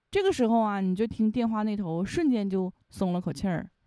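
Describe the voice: Someone reads the text. It is plain reading aloud.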